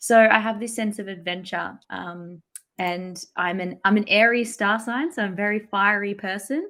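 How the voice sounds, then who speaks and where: In an Australian accent, a woman with a medium-pitched, bright, sharp tone speaks with ordinary pitch variation and big swings in loudness, on a very clean recording with a silent background. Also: moderate pace. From Australia, small country town. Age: 20s. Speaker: content marketing entrepreneur. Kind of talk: podcast interview. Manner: chatty.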